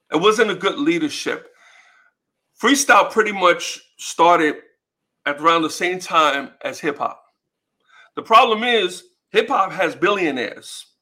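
A man in a New York accent uses a raised, projected voice, high in pitch with a bright, sharp tone and lively intonation. He talks at a fairly slow pace, with long, frequent pauses. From US Northeast, New York City (Bronx), Puerto Rican. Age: 50s. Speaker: music promoter and author. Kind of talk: casual interview.

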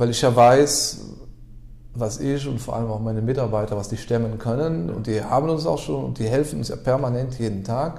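Against audible room echo, a man talks at a fairly quick pace, somewhat breathy, at a medium pitch with ordinary variation. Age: 30s. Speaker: car garage owner. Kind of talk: interview.

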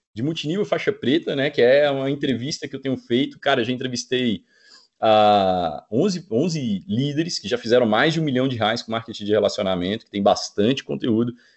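With lively intonation, a man talks at a moderate pace and medium pitch in an ordinary speaking voice. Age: 30s. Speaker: network marketing entrepreneur. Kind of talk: podcast interview.

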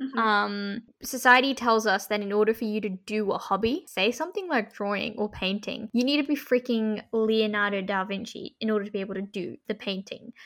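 In an Australian accent, a woman talks at a fairly quick pace with hardly any pauses. Her pitch is fairly high, with ordinary pitch variation. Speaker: university student and student radio host. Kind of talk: casual chat.

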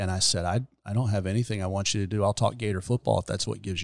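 In a very clean recording with a silent background and dry, close sound with no echo, a man talks at a very fast pace with an American accent. His pitch is fairly low and his intonation fairly even. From US South, Gainesville, north central Florida. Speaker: hospice chaplain and veteran pastor. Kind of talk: casual chat. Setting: studio.

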